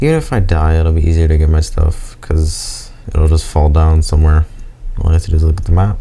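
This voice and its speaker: Mumbling at a fairly quick pace, a man with a very deep, low voice keeps a flat monotone and very even loudness over noticeable background noise. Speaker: gamer. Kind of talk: gameplay commentary.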